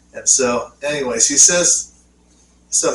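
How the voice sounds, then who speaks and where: A man's voice over noticeable background noise. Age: 50s. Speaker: podcast co-host. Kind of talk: casual chat. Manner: halting.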